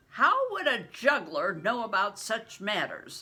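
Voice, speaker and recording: Using a put-on character voice, a woman speaks at a fairly slow pace in a fairly high pitch with very wide pitch swings. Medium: read story. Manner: terse, suspicious.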